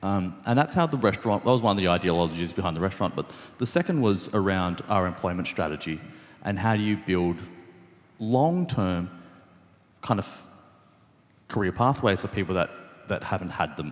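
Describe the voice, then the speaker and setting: In an Australian accent, a man talks at a fairly quick pace with a fairly low pitch and ordinary pitch variation. Long pauses come often. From Sydney, Australia. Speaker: restaurant co-founder. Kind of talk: panel talk. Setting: event with small audience. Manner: many fillers and repetitions.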